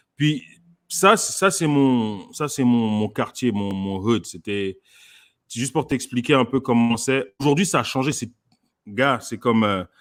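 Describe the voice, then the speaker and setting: Lively intonation marks a man's medium-pitched voice at a fairly slow pace. The recording is very clean, with a silent background. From France. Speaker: comedian. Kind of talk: casual chat. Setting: live stream. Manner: halting.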